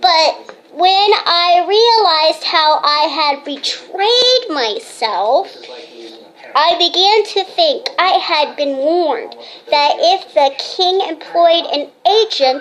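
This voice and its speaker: Putting on a character voice, a woman speaks very slowly at an extremely high pitch, her loudness very even. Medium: stage play.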